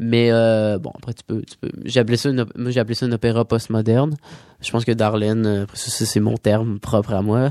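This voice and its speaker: A man's dark, mellow voice at a moderate pace, monotone and flat, in a dry, close sound with no echo. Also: medium pitch for a man. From Quebec. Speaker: singer-songwriter. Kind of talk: radio interview. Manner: halting.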